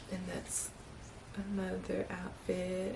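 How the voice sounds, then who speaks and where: Female speech with audible room echo and noticeable surrounding noise. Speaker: vlogger. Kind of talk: casual vlog talk to camera. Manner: animated.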